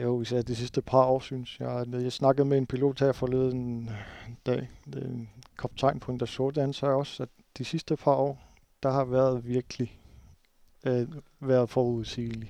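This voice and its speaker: The man speaks at a fairly slow pace. His tone is dark and mellow, his intonation monotone and flat. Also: medium pitch for a man. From Greenland, Nuuk. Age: 30s. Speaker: flight information officer. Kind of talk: interview. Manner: halting.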